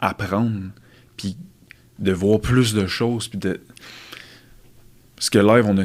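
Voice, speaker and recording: Keeping his intonation fairly even, a man speaks at a moderate pace with a fairly low pitch. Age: 20s. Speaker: fitness coach and podcast host. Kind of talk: casual chat.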